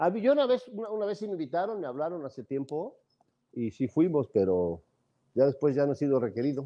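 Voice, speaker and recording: Over a quiet background, a man with a Mexican accent talks at a fairly high pitch. He moves at a fairly quick pace with very wide pitch swings. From Mexico. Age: 60s. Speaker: football pundit. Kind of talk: heated sports debate. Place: home room. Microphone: earbuds.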